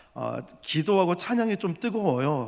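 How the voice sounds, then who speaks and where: With lively intonation, a man is heard on a very clean recording with a silent background. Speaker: pastor. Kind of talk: sermon. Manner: loud.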